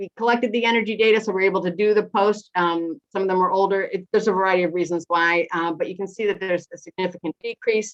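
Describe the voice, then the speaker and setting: A woman speaks very fast, with hardly any pauses and fairly even intonation. The sound is dry and close, with no echo. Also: medium pitch for a woman. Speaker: housing energy efficiency nonprofit worker. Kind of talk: presentation with slides. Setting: online webinar.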